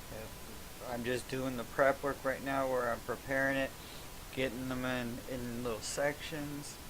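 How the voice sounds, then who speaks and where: Soft-spoken and monotone, a man talks at a medium pitch and fairly slow pace with flat intonation. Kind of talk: casual crafting video narration. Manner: halting.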